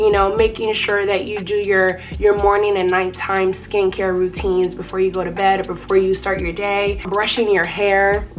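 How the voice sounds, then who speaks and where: A woman speaks at medium pitch and a moderate pace with flat, monotone intonation, hardly pausing, over noticeable background noise. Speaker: lifestyle vlogger. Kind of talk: tutorial. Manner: casual.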